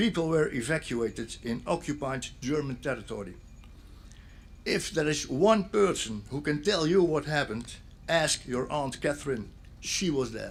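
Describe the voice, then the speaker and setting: Lively intonation marks this man's fairly high-pitched voice with a Dutch accent. He speaks at a moderate pace. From Netherlands, Zeeland (Sint Annaland). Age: 60s. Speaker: police officer and local speaker at memorial. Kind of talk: memorial speech.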